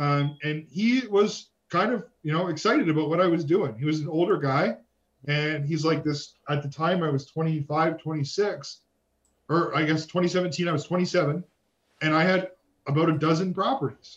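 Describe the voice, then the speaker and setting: This man has a normal speaking voice, fairly high in pitch, with a Canadian accent, ordinary pitch variation and a moderate pace. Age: 30s. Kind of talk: interview.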